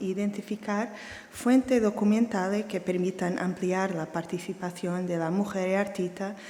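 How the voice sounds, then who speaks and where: A woman at medium pitch speaks at a fairly slow pace with fairly even intonation. The room echo is audible, and background noise is noticeable. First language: Portuguese (speaking Spanish). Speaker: art historian. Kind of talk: lecture. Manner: reading slowly.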